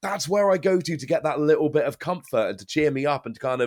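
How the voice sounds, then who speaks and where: A man with an English accent on a very clean recording against a silent background. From England. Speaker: YouTuber and game caster. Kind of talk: casual interview chat.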